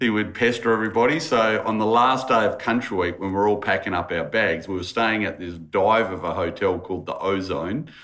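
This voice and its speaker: His pitch varies in an ordinary way. This man's voice is fairly low. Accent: Australian. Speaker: podcast host.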